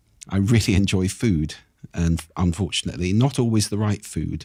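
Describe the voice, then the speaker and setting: At a moderate pace, a man speaks in an ordinary speaking voice, fairly low in pitch with ordinary pitch variation. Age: 60s. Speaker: speaking expert and author. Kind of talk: podcast interview.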